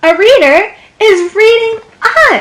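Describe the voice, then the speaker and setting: A squeaky, put-on character voice does the talking. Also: woman. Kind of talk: kindergarten read-aloud. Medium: read story.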